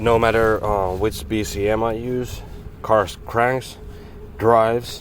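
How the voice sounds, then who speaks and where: Against noticeable background noise, a man with a non-native accent speaks at a very slow pace. His pitch is medium and his intonation fairly even. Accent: non-native English pronunciation. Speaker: mechanic. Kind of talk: casual talk to camera, repair walkthrough. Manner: hesitant, stuttering.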